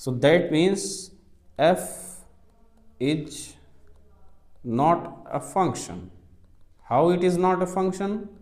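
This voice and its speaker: With an Indian accent, a man speaks at a very slow pace with long, frequent pauses, his pitch high with ordinary variation, and audible room echo surrounds the voice. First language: Hindi. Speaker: maths teacher. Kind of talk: lecture. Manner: slow and methodical.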